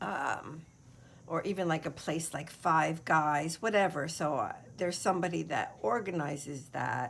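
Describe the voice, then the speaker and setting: A woman speaks at a fairly slow pace with a very deep, low voice and an American accent. Vocal fry runs through her speech, and her pitch varies in an ordinary way. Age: 60s. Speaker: craft video creator. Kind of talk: casual chat. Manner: hesitant, many fillers.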